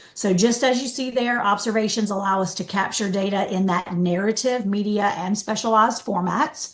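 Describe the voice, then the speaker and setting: With hardly any pauses, a woman talks at a medium pitch with ordinary pitch variation against noticeable background noise. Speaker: software trainer. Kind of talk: training webinar. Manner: fast.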